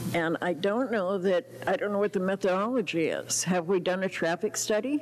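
Faint music plays in the background as a woman talks. She keeps a moderate pace with ordinary pitch variation. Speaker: resident giving public comment. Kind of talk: public comment to council. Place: hall. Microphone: podium.

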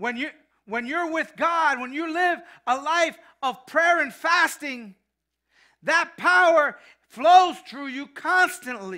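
A man with an extremely high pitch speaks in a raised, projected voice with a bright, sharp tone, big swings in loudness, and ordinary pitch variation. His pace is very slow, with long, frequent pauses against a quiet background. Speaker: pastor. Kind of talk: sermon. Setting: church. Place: church.

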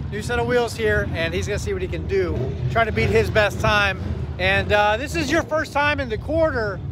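Noticeable background noise behind a male voice, dry and free of echo. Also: moderate pace. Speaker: car vlogger. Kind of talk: casual vlog chat. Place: street. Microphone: phone near.

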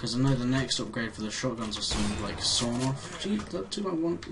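A man's fairly quick speech comes through noticeable background noise. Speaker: gaming YouTuber. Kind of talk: gameplay commentary. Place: home room. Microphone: headset.

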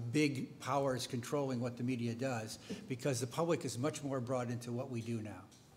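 Somewhat breathy and fairly quick, a man speaks with an American accent against light background noise. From United States. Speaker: veteran newspaper editor. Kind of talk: panel discussion. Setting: stage with audience. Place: hall. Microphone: podium.

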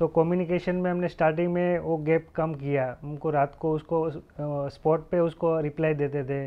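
With a Gujarati accent, a man speaks at a fairly high pitch and a fairly slow pace in a monotone, flat intonation. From Gujarat, India (Junagadh district, rural); Gujarat, India. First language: Gujarati (speaking Hindi). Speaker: guest. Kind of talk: interview. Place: office.

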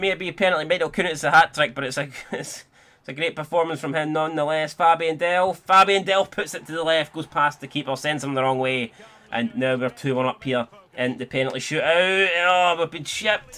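With a Scottish accent, a man of fairly high pitch talks at a fairly quick pace and with ordinary pitch variation. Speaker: gaming YouTuber. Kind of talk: gameplay commentary, live football play-by-play during penalty shootout. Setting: home recording, playing FIFA. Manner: casual, chatty, swearing.

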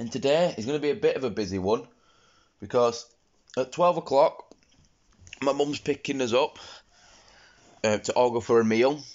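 At a moderate pace with long, frequent pauses, a man with a Yorkshire accent speaks with ordinary pitch variation. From Yorkshire, England. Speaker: vlogger and streamer. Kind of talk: casual vlog talk to camera. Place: home room. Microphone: phone near.

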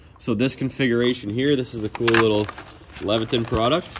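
A man's voice against noticeable background noise. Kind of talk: casual shop talk tutorial. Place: workshop. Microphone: phone near.

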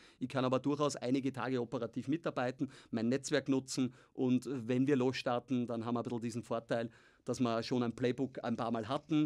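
A man speaks at a very fast pace in a monotone, flat intonation. His pitch is medium, and the background is quiet. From Austria. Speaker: tech founder and investor; podcast guest. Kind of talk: interview. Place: studio. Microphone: studio mic.

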